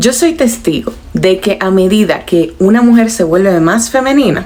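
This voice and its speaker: A woman talks fairly slowly with ordinary pitch variation while noticeable background noise is heard. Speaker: lifestyle vlogger. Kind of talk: personal advice monologue. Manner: moderated, calm tone.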